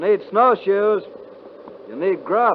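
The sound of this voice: Putting on a character voice, a man speaks at a high pitch. He delivers his lines at a slow pace.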